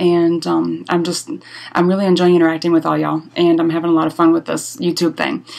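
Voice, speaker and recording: A woman's fairly low-pitched voice at a fairly quick pace. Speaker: blogger. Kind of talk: casual talk to camera. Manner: fast.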